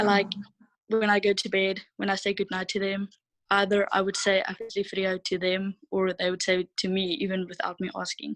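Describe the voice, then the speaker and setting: Someone speaks in a monotone, flat intonation with a South African accent. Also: woman, medium pitch for a woman, fairly quick pace. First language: Afrikaans. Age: 20s. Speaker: au pair. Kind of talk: interview.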